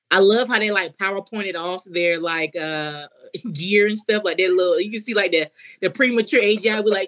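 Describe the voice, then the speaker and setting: Talking at a fairly quick pace, a woman with a North Carolina accent uses a medium pitch and ordinary pitch variation. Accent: US South, North Carolina. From coastal North Carolina. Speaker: comedian. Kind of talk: casual chat.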